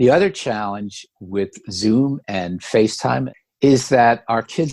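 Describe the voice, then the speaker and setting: This man has an unremarkable speaking voice with lively intonation, and he talks at a fairly slow pace. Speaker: co-founder of a grandparents network, interview guest. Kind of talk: interview answer. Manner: conversational, explanatory.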